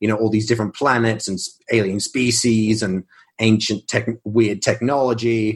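A man with an Australian accent talks at a moderate pace in a fairly low pitch, with monotone, flat intonation. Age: 20s. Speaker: science fiction author. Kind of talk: casual interview.

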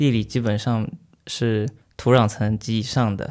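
Heard on a very clean recording with a silent background, an unremarkable speaking voice shows ordinary pitch variation. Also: man. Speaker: student and amateur football referee. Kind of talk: interview conversation.

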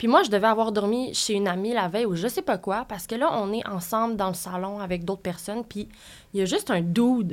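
In a very clean recording with a silent background, a woman uses an ordinary speaking voice at medium pitch, talking fairly quickly with ordinary pitch variation. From Quebec, Sherbrooke. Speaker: interview guest. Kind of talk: personal story in interview.

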